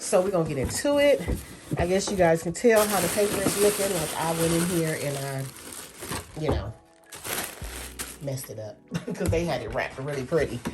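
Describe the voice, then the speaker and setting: With music in the background, the speaker moves at a fairly quick pace, makes very wide pitch swings and leaves long, frequent pauses. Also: woman, fairly low pitch for a woman. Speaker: beauty and fashion vlogger. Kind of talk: unboxing haul video, casual talk to camera. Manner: animated, gushing.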